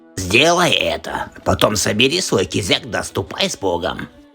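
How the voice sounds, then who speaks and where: Cartoonish character voice from a man, fairly low in pitch, over clear background music. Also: moderate pace. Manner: sly, wheedling.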